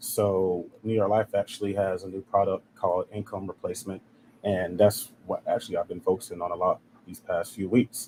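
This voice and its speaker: A man's plain, everyday voice with an American accent, fairly low in pitch, fairly quick, with ordinary pitch variation and a dry, close sound with no echo. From South Carolina. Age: 20s. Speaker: life insurance agent. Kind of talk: interview. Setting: live stream.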